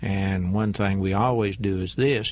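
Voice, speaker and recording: A man's unremarkable speaking voice, fairly low in pitch, with lively intonation. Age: 60s. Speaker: banker and businessman. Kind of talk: radio interview.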